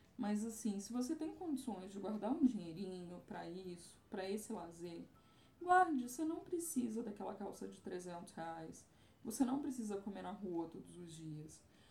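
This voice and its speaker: A woman speaks at a medium pitch with very wide pitch swings and big swings in loudness. Music plays in the background, and room echo is audible. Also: moderate pace. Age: 30s. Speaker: travel influencer. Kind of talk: casual chat.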